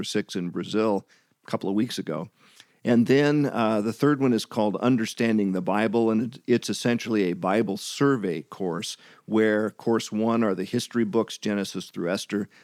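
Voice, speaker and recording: An unremarkable speaking voice from a man, fairly low in pitch with ordinary pitch variation, dry and close with no echo on a very clean recording against a silent background. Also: moderate pace. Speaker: missionary and former pastor and music minister. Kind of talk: casual interview.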